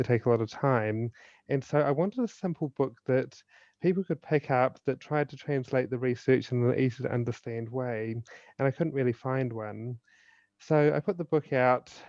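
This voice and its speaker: The speech moves at a moderate pace. Pitch varies in an ordinary way. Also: man, medium pitch for a man. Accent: New Zealand. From New Zealand. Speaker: suicide prevention speaker and author. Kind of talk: podcast interview.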